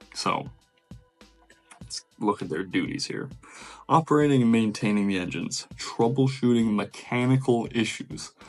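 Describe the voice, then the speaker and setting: A man's medium-pitched voice at a moderate pace, with ordinary pitch variation and music in the background. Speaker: merchant mariner, deck department. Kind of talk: reading aloud a list; casual vlog talk.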